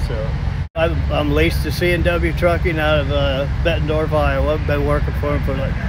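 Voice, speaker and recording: A man speaks at a moderate pace with a dry sound and no echo. Loud background noise is present. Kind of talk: interview answer. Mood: relaxed, friendly. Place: street. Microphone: phone near.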